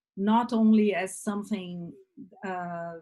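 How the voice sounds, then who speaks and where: At a very slow pace, a woman of medium pitch speaks in a dark, mellow, somewhat breathy tone with fairly even intonation. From Brazil. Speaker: communication workshop facilitator. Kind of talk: online workshop talk. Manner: halting, many fillers.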